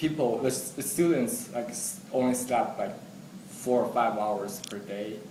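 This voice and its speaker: A man at a medium pitch, fairly slow in pace and lively in intonation, with noticeable background noise and audible room echo. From China. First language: Chinese. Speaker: international student. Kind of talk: interview.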